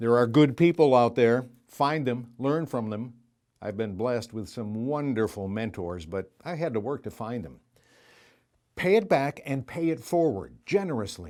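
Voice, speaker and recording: A man speaks at a moderate pace in a medium pitch, his loudness swinging widely, in a plain, everyday voice on a very clean recording with a silent background. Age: 60s. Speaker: graduate giving commencement speech. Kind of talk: commencement speech.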